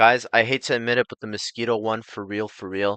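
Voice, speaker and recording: In a dry, close recording with no echo and a quiet background, a man speaks in an animated tone. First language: Estonian. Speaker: gaming YouTuber. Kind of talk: casual chat.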